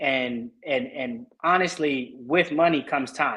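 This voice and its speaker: With an American accent, a man has an unremarkable speaking voice, a fairly high pitch and ordinary pitch variation. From Oakland, California. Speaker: realtor. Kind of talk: interview answers.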